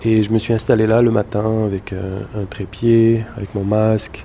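Over noticeable background noise, a man talks at a fairly slow pace in a fairly low, flat monotone. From Montreal, Quebec (born in Morocco, moved at 5-6). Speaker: photographer. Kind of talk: interview testimony. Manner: halting, repeats words.

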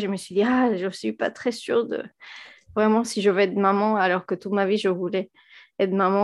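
Over a quiet background, a woman in a Spanish accent speaks at a medium pitch with fairly even intonation. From Venezuela. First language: Spanish (speaking French). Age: 30s. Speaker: physicist and engineer, mother. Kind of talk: podcast interview. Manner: hesitant, many fillers and repetitions.

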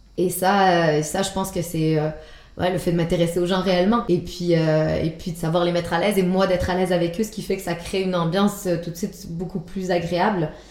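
A woman with a fairly low pitch talks at a fairly quick pace in a monotone, flat intonation, with noticeable background noise behind her. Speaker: antiques dealer. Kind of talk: interview. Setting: her showroom. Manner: hesitant, with many fillers.

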